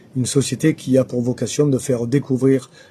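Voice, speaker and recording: Dark and mellow in tone, a man's somewhat breathy voice sits at medium pitch. He moves at a fairly quick pace with monotone, flat intonation. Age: 60s. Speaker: local election candidate. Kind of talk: interview. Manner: hesitant, many filler sounds.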